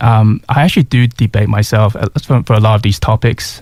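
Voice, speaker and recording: Somewhat breathy and at a fairly quick pace, a man talks with a Mandarin accent in a dry, close sound with no echo. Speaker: singer-songwriter. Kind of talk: radio interview. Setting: radio studio. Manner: halting.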